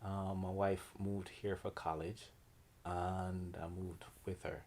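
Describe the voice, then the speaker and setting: This speaker has a Jamaican accent and a relaxed tone, with monotone, flat intonation. The pace is fairly slow, and the recording is very clean with a silent background. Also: man, very deep, low pitch for a man. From Jamaica, Kingston. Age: 40s. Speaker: artist and art teacher. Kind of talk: interview. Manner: relaxed, many fillers.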